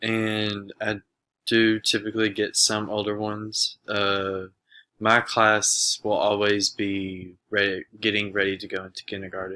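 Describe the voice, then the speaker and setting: On a very clean recording with a silent background, a man with a fairly low pitch and a bright, sharp tone speaks fairly slowly in monotone, flat intonation. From Arkansas, Little Rock. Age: 20s. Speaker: university education student. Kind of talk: self-introduction monologue. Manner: hesitant, many filler words.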